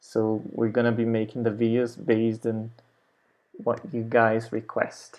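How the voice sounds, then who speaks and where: A man's dark, mellow tone at medium pitch and a very slow pace, against a quiet background. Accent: Brazilian. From Brazil. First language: Portuguese. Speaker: language teacher. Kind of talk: tutorial. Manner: casual, unscripted.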